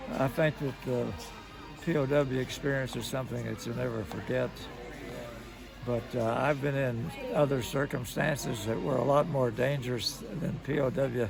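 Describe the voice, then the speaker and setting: With music in the background, the man's pitch varies in an ordinary way. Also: medium pitch for a man, moderate pace. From Kentucky, USA. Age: 80s+. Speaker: World War II veteran, former B-17 gunner. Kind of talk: interview answer.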